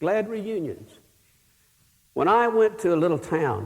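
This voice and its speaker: A man with a Texan accent at a moderate pace. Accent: Texan Southern US. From Texas. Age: 60s. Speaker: pastor. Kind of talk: sermon.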